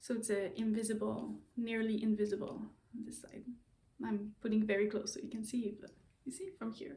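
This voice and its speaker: A somewhat breathy woman's voice, fairly high in pitch with a dark, mellow tone and a Quebec accent, at a moderate pace with fairly even intonation and big swings in loudness. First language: French. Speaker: knitting and sewing vlogger. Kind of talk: casual vlog talk. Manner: halting, many fillers and repeats.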